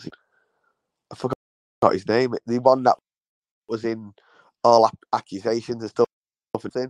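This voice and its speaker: A man with a Manchester accent speaks at a medium pitch and moderate pace, monotone and flat in intonation. His long, frequent pauses come through in a dry, close sound with no echo. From Manchester, England. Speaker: podcast co-host. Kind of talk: casual chat. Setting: remote call.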